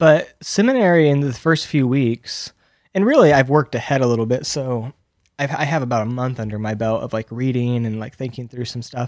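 A man talks in a normal speaking voice at medium pitch and a fairly quick pace, on a very clean recording with a silent background. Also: ordinary pitch variation. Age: 30s. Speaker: podcast co-host, seminary student. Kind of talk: casual chat.

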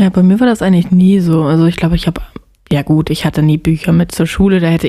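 Very fast speech from a woman, fairly low in pitch and fairly even in intonation. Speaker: podcast co-host. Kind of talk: casual chat.

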